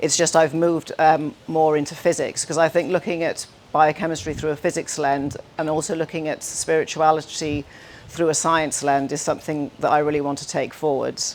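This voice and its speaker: In a Welsh accent, a woman speaks at a moderate pace in a very deep, low pitch with monotone, flat intonation. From Wales. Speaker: scientist and speaker. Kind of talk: conference talk.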